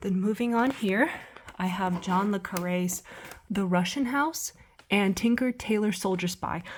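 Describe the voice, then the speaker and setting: Over noticeable background noise, a woman talks at a fairly slow pace. Her pitch variation is ordinary. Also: medium pitch for a woman. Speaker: booktuber. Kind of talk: casual chat. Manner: chatty, many fillers.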